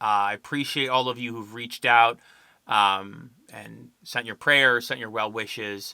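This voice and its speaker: Recorded very cleanly against a silent background, a man speaks fairly slowly at a medium pitch in a bright, sharp tone. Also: fairly even intonation, big swings in loudness. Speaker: podcast host. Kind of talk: casual monologue. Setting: filming at home. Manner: quiet, hushed.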